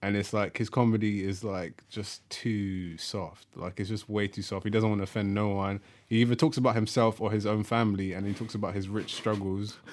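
With a London accent, a man talks at a fairly quick pace with hardly any pauses, his fairly low pitch carrying fairly even intonation on a very clean recording with a silent background. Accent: London multicultural English. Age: 20s. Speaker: podcast co-host. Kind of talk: casual chat.

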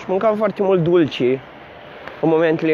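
The voice holds a fairly even intonation over noticeable background noise. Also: man. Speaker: podcast host. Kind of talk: casual monologue. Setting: outdoors, walking to work.

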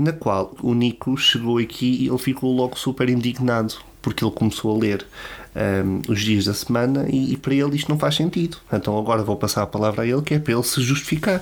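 A man in a European Portuguese accent speaks at a fairly quick pace and medium pitch. His loudness is very even, with ordinary pitch variation. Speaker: podcast host. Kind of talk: monologue; casual chat. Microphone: new microphone.

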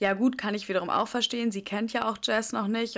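An ordinary speaking voice from a woman, fairly quick, with fairly even intonation, in a very clean recording against a silent background. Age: 20s. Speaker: podcast co-host. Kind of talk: casual chat.

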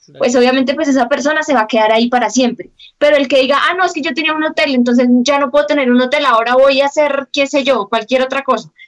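A woman talks at a very fast pace with hardly any pauses. Her high voice keeps a fairly even intonation. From small town in Colombia. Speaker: podcast co-host. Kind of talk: casual chat. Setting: video call.

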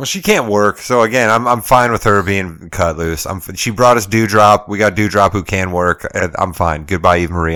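A man with an ordinary speaking voice, fairly low in pitch, with ordinary pitch variation and a fairly quick pace. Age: 40s. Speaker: wrestling podcast co-host. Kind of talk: casual chat.

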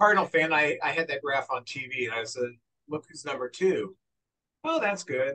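A man with an unremarkable speaking voice talks at a moderate pace, his fairly high pitch showing ordinary variation. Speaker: podcast host. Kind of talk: casual chat.

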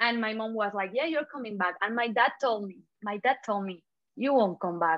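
A woman speaks with a Spanish accent. Her pitch is fairly high. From Spain (Catalonia). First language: Spanish/Catalan. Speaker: social media creator. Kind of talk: casual interview. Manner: animated, feisty; laughs often.

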